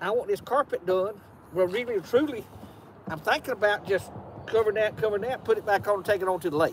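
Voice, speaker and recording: Speaking very fast with ordinary pitch variation, a man with a high voice comes through a dry sound with no echo and light background noise. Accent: Georgia. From US South. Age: 70s. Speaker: boat owner; live streamer. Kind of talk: casual chat. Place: street. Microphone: phone near.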